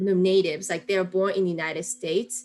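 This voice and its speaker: With music playing in the background, a woman talks very fast in a Japanese accent. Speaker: interviewee. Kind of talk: interview. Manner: casual.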